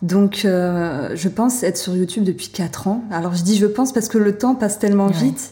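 On a very clean recording with a silent background, a woman speaks at a fairly slow pace in a dark, mellow, somewhat breathy tone with ordinary pitch variation. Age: 30s. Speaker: tarot reader and fortune teller on video platform. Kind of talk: casual interview.

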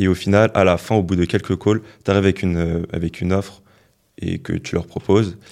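A man with a very deep, low voice, monotone, flat intonation and a fairly quick pace, on a very clean recording with a silent background. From France, Paris suburbs (Val d'Oise). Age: 20s. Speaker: entrepreneur and content creator. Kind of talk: interview.

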